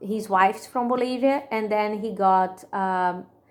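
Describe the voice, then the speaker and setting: A woman with a strong Brazilian accent speaks at a fairly slow pace in a fairly high pitch. The recording is very clean, with a silent background. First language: Portuguese. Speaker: student presenter. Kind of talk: class presentation. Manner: halting, many fillers.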